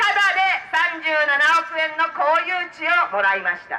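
A woman speaks in a raised, projected voice. Her pace is fairly slow. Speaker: politician giving a campaign speech. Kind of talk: political street speech. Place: street.

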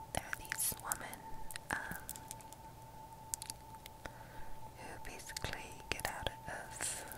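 A woman whispers at a very slow pace. Her tone is gentle. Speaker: university student vlogger. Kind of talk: casual vlog chat. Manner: soft, gentle close-mic speaking. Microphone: earbuds.

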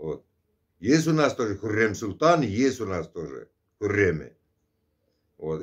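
A man speaks at a fairly low pitch and a fairly slow pace. His intonation is lively against a quiet background. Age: 50s. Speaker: vlogger; vlogger answering a subscriber. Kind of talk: casual monologue. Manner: conversational, filler-heavy. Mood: earnest, opinionated. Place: home room. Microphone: phone near.

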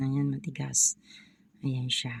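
A woman with a dark, mellow tone speaks at a fairly slow pace, the sound dry and close with no echo. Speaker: vlogger selling amulets and folk remedies. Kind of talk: product showcase vlog. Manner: halting with many fillers.

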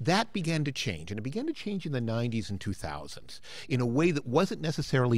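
The dry sound with no echo carries a man talking at a fairly quick pace with very wide pitch swings. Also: hardly any pauses. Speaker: political science professor. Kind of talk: panel discussion talk. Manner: fast. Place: hall.

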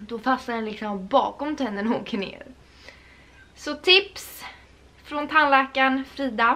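A woman speaks in a high, raised, projected voice with a bright, sharp tone and ordinary pitch variation. Her pace is fairly slow, with long, frequent pauses and big swings in loudness. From Sweden. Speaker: lifestyle vlogger. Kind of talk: casual vlog chat. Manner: animated. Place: home room. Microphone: camera far.

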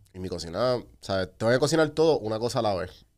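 A man talks fairly quickly against a quiet background. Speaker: podcast host. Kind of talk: casual chat. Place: studio. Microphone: studio mic.

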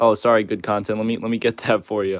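A man's fairly low-pitched voice, dry sound with no echo, over a quiet background. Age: 20s. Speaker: gaming livestreamer. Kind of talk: casual live stream chat. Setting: live stream. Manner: casual, filler-heavy. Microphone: phone near.

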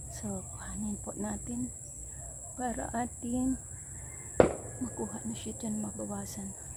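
A woman talks fairly slowly in a room with audible echo and noticeable background noise. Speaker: home gardener vlogger. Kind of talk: casual vlog narration. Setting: outdoors in backyard.

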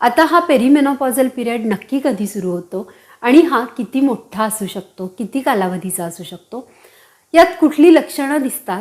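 It's a plain, everyday voice. The intonation rises and falls in a lively way. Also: woman. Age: 40s. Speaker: women's health YouTuber. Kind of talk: informational talk to camera. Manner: warm, direct address.

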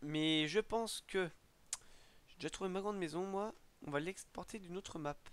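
A man's high-pitched voice at a moderate pace, broken by long, frequent pauses. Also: ordinary pitch variation, big swings in loudness. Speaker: gaming youtuber and map modder. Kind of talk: casual tutorial commentary. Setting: screen recording, home mic. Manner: rambling, self-correcting, joking.

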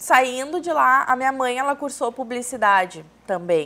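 A woman speaks with a high pitch and lively intonation. Her tone is bright and sharp. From São Leopoldo, Rio Grande do Sul, southern Brazil; Rio Grande do Sul, Brazil. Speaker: business consultant; talk show guest. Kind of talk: TV interview. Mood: relaxed, friendly. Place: studio. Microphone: lapel.

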